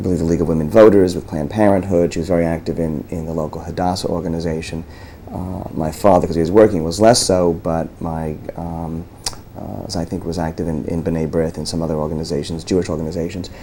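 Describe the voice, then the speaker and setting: A man with an American accent talks very fast with a very deep, low pitch. His intonation is fairly even, and noticeable background noise is present. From New York area, US. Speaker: lawyer. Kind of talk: oral history interview. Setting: law office. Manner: halting, many repetitions and fillers.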